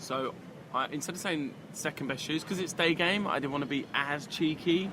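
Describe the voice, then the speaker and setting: A man with a London accent, fairly high-pitched, at a moderate pace with ordinary pitch variation. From London, England. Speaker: dating coach. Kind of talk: casual chat. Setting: cafe.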